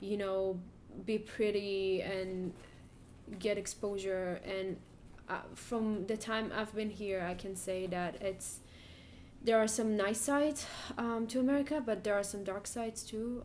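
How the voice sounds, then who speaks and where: A fairly even intonation comes through with audible room echo. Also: woman. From Israel. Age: 20s. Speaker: graduate student. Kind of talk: interview.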